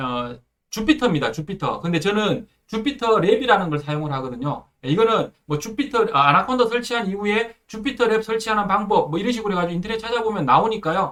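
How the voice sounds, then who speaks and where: A man's high-pitched voice at a very fast pace, with very wide swings in pitch. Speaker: programming instructor. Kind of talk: tutorial. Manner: many filler words, hesitant.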